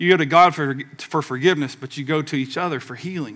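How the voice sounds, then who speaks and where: A man with a Southern US accent speaks at a fairly high pitch on a very clean recording with a silent background. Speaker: pastor. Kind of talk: sermon. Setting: church with congregation. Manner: animated, preaching with audience call-and-response.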